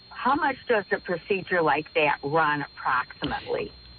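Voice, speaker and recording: Noticeable background noise sits behind a woman's voice. She speaks at a moderate pace and medium pitch. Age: 70s. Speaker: caller. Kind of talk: radio call-in question. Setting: phone call.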